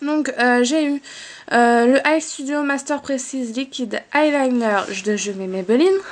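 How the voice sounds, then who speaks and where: Her pitch is high for a woman, with ordinary variation. She speaks at a very slow pace. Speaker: beauty vlogger. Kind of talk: casual product haul vlog. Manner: hesitant with many fillers.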